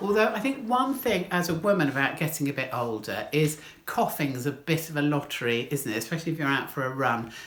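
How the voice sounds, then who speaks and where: A woman's very deep, low voice with a British accent, very wide pitch swings, and a fairly quick pace with hardly any pauses. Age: 60s. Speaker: stand-up comedian. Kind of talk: stand-up.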